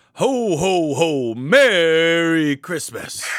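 This is a put-on character voice. Its pitch sits in the middle. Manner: jolly.

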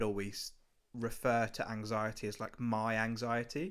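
A man with an unremarkable speaking voice, medium pitch and fairly even intonation, in a very clean recording with a silent background. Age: 20s. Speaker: videographer. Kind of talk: casual chat. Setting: call.

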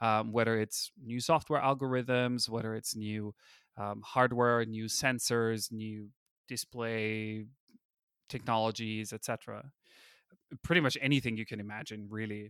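A man with an Austrian accent, medium pitch, and fairly even intonation at a fairly slow pace, on a very clean recording with a silent background. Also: dry, close sound with no echo. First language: German. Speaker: user interface designer. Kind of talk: interview. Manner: hesitant, many fillers.

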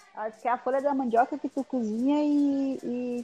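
Fairly quick speech from a woman, dry and close with no echo. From Guarani village, northern Rio Grande do Sul, Brazil. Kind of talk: casual chat. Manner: halting.

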